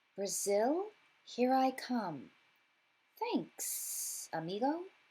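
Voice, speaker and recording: In a very clean recording with a silent background, a woman does a hissing, put-on character voice with a high pitch, very wide pitch swings and a very slow pace. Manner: casual, cheerful.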